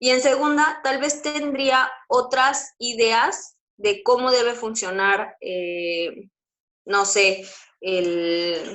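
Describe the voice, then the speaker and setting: With a slight Mexico City accent, a high-pitched woman speaks very slowly with lively intonation, her voice carrying audible room echo. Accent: slight Mexico City (chilango). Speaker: teacher. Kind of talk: lecture. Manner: hesitant, many fillers.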